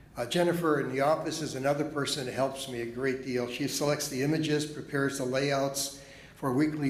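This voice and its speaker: Audible room echo surrounds a man speaking at a moderate pace. His pitch is fairly high and his intonation fairly even. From Chicago. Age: 70s. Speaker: pastor. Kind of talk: speech at a congregation meeting. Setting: church.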